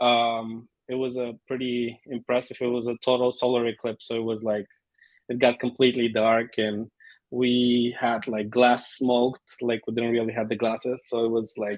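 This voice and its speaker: Here a man with a Bulgarian accent speaks in a monotone, flat intonation. His pitch is medium and his pace moderate. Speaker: amateur photographer. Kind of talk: casual introduction in video meeting.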